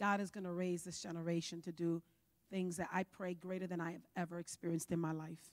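Speaking at a very fast pace in an animated tone, the voice has an American accent over a quiet background. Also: woman, fairly low pitch for a woman. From New York. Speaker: pastor. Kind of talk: sermon. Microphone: handheld.

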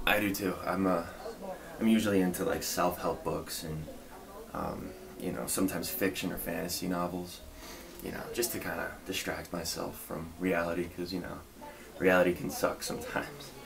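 Over noticeable background noise, a man talks at a moderate pace with long, frequent pauses. His very deep, low voice keeps a fairly even intonation. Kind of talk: casual role-play conversation. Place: home room. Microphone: webcam.

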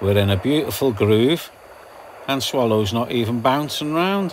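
A man talks at a moderate pace with light background noise behind him. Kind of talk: casual vlog commentary. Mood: relaxed, contented. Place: boat. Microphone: phone near.

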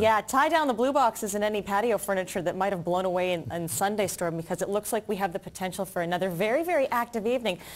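A woman's very fast speech with lively intonation and hardly any pauses. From Canada. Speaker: TV news reporter, weather anchor and host; TV news reporter, weather anchor, host. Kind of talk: TV weather forecast. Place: studio.

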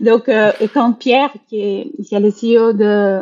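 A woman with a Brazilian accent, fairly high pitch and ordinary pitch variation, at a very slow pace. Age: 40s. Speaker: HR director. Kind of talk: interview, casual chat. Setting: video call.

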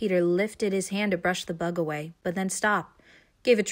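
With fairly even intonation, this is a natural reading voice.

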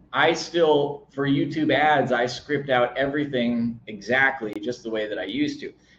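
With audible room echo, a man talks at a fairly slow pace in a fairly high voice with ordinary pitch variation. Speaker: video marketing coach; online marketing creator. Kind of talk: tutorial. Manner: occasional stumbles.

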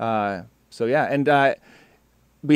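A man with an American accent speaks very slowly at a fairly high pitch with ordinary pitch variation, in a dry sound with no echo and a quiet background. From South Texas and Mexico. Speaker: music software trainer, meetup co-host. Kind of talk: casual online meetup chat. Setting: video call. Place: studio. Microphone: studio mic.

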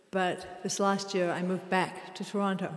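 Audible echo from the room is heard. A woman talks at a moderate speed. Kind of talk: stage introduction to audience. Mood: warm, smiling. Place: hall.

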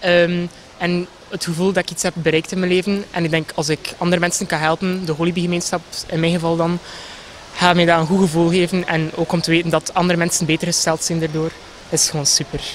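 The speaker has a West Flemish accent and a monotone, flat intonation. Light background noise is present. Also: man, high pitch for a man. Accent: West Flemish Dutch. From Belgium, West Flanders (Ypres). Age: 20s. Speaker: pageant contestant. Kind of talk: short interview. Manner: hesitant, many fillers. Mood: cheerful, smiling. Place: garden. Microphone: handheld.

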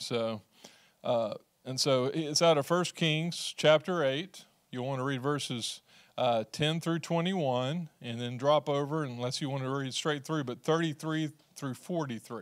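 A fairly slow pace with ordinary pitch variation against a quiet background. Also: man. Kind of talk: church announcements. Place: church. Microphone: handheld.

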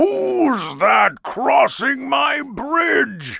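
A bellowing, put-on character voice booms at a fairly high pitch. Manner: roaring, threatening.

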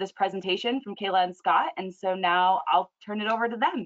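At a fairly quick pace, a woman speaks with ordinary pitch variation. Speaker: webinar host. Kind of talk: event introduction and land acknowledgement. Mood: respectful, warm. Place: home room.

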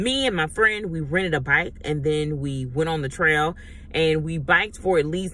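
With a bright, sharp tone, a woman speaks in a very deep, low voice, and the sound is dry with no echo. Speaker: travel vlogger. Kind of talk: casual vlog chat. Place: car. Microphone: phone near.

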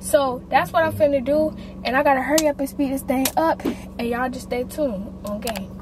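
A woman's high voice at a fairly quick pace, with noticeable background noise. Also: ordinary pitch variation, dry sound with no echo. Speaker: family vlogger. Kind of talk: casual vlog chat. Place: car.

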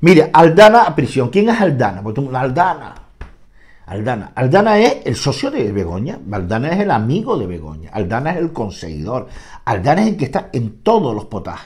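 With an animated tone and vocal fry, a man speaks at a moderate pace using very wide pitch swings. The background is quiet. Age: 60s. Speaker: political commentator. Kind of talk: political monologue. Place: home room. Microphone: lapel.

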